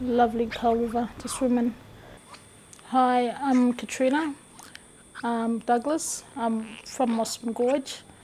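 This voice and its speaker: A high-pitched woman's very slow, monotone, flat speech with long, frequent pauses, against noticeable background noise. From Far North Queensland, Australia. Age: 30s. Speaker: mother in a health program. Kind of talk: interview testimony. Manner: hesitant, with fillers and repetitions.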